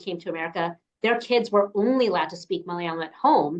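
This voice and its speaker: A woman speaks in an ordinary speaking voice at medium pitch, moving at a moderate pace with ordinary pitch variation. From New York, US. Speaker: podcast host. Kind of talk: interview conversation.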